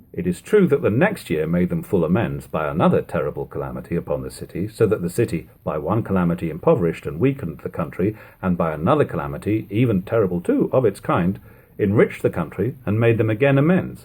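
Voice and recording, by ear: Talking fast with few pauses, a man speaks at a low pitch with big pitch swings, a slightly mellow tone and a slightly husky edge.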